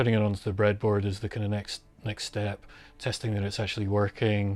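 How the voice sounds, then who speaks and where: A man with a Scottish accent and a fairly low pitch, flat and monotone at a fairly quick pace, on a very clean recording over a silent background. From Scotland, Glasgow. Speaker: synth module maker. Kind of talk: documentary interview. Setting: home studio. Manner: casual, hesitant with many fillers.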